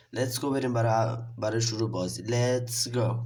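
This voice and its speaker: Audible room echo surrounds a man speaking fairly quickly at a medium pitch. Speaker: gaming youtuber. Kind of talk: gameplay commentary. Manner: animated.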